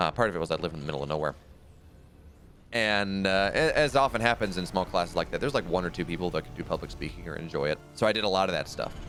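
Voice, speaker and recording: With music in the background, a man with a very deep, low pitch talks at a very fast pace, his tone animated and his intonation lively. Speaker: esports caster. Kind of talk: live commentary.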